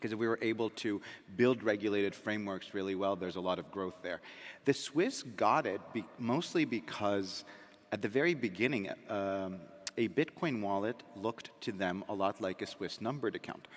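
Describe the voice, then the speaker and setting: A man with an American accent talks at a moderate pace in an ordinary speaking voice. His pitch is fairly low, with ordinary variation. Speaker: crypto company founder. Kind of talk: panel discussion.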